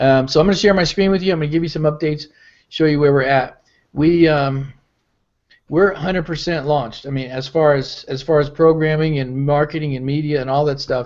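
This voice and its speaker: Fairly high in pitch, a man talks at a fairly quick pace. His intonation is fairly even, and the background is quiet. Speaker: business founder and network marketing leader. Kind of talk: live webinar update. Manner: fast.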